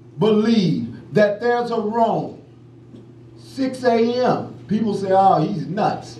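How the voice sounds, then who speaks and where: A loud man speaks in a high voice with an American accent. Noticeable background noise and audible room echo fill the recording. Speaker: criminal justice activist, former prisoner. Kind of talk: award acceptance speech. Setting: award ceremony with audience. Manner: impassioned.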